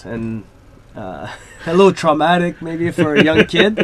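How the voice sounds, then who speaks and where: A man's fairly high voice at a moderate pace, with big swings in loudness and noticeable background noise. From Quebec, Canada (Laval). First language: French. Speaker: professional ice hockey player. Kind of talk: interview. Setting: radio studio. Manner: hesitant, many fillers.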